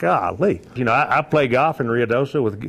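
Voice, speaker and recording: A man speaks with a Texan accent. His intonation is lively. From Texas, Fort Worth. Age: 60s. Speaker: newspaper publisher. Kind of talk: interview. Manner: halting.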